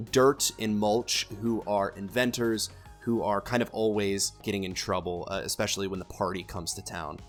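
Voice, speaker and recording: Over music in the background, a man speaks at a fairly low pitch and a moderate pace, with fairly even intonation and hardly any pauses. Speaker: voice actor discussing character voices.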